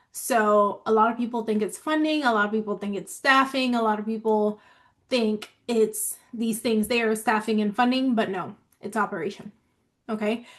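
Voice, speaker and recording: At a moderate pace, a woman talks in a fairly high pitch with fairly even intonation. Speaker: nonprofit operations consultant. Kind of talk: live stream business talk. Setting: live stream on Zoom and social media. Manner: casual, talkative.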